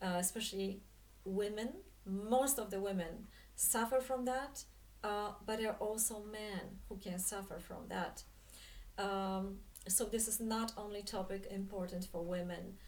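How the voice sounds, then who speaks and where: Amid audible room echo, a woman with a Polish accent speaks fairly slowly at a medium pitch with fairly even intonation. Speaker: spiritual coach and dance teacher. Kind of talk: monologue talk to camera. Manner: halting, many fillers.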